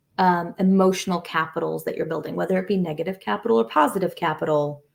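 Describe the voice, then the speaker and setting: Speaking very fast, a woman with a fairly low pitch uses ordinary pitch variation and shows vocal fry. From Kosovo. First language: Albanian. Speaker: marketing executive. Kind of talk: interview. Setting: video call.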